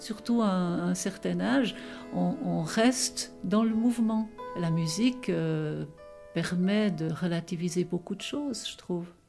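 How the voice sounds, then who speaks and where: A woman talks very slowly as music plays in the background. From Gruyère, Switzerland. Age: 80s+. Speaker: zither player. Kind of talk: interview answer. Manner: nostalgic.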